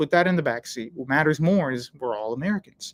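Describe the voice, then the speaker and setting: Very fast speech comes from a man. His sound is dry and close, without any echo. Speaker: livestream host and religion commentator. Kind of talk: livestream commentary and chat reading. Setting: livestream. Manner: casual, blunt.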